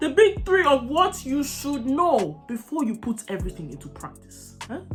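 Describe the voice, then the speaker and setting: High-pitched woman's voice with very wide pitch swings, big swings in loudness and music in the background. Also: moderate pace. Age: young. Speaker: makeup content creator. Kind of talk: casual talk to camera. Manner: chatty, informal.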